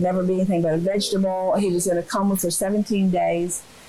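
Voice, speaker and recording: A woman with a medium pitch talks very fast amid audible room echo. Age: 80s+. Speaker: water aerobics instructor. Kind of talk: interview.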